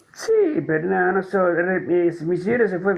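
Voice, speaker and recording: A man speaking at a moderate pace. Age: 70s. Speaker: caller in a live political discussion. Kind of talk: casual chat.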